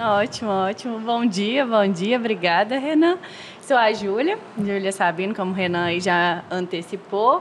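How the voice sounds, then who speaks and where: Noticeable background noise sits under a woman speaking at a fairly slow pace and medium pitch with ordinary pitch variation. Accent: Minas Gerais. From Minas Gerais, Brazil (Viçosa). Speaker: business partner, HR executive. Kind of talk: podcast interview.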